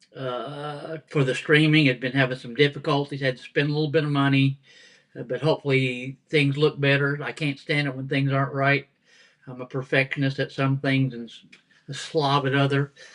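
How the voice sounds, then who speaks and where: A man's fairly high voice with a Southern US accent, monotone and flat, at a moderate pace with big swings in loudness. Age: 70s. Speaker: pastor. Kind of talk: casual chat. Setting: home dining room, live stream.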